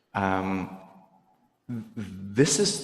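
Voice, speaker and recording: A man speaks with a Russian accent, and audible room echo surrounds his voice. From Belarus. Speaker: volunteer speaking at a synagogue. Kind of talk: talk to a congregation. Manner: halting.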